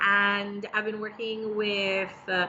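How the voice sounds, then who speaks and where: A medium pitch marks this voice. It belongs to a woman. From Trinidad and Tobago. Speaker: ESL teacher and entrepreneur. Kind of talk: livestream interview.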